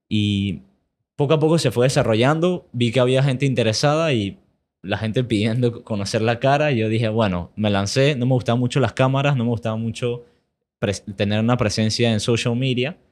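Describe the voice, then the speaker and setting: An ordinary speaking voice from a man at medium pitch, moving at a fairly quick pace. Loudness stays very even, pitch varies in an ordinary way, and the background is quiet. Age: 20s. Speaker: investing educator and entrepreneur. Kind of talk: interview.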